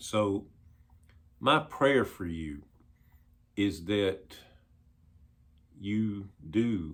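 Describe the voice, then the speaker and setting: This man's voice sits very deep and low. His intonation is lively. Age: 60s. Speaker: pastor. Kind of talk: devotional talk.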